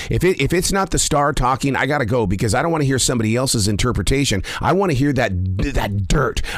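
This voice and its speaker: A man with an American accent and medium pitch talks at a very fast pace in an animated tone with lively intonation over noticeable background noise. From Montana, US. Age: 60s. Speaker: podcast host. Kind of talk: interview.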